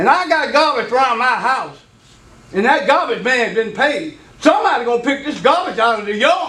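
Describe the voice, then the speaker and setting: Raised and projected, a man's voice sits extremely high and swings very widely in pitch, with audible room echo. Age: 70s. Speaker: resident speaking at city council. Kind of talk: public comment at meeting. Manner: animated.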